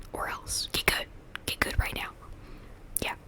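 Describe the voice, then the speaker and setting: Someone whispers over noticeable background noise. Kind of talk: casual ASMR ramble about Pokemon.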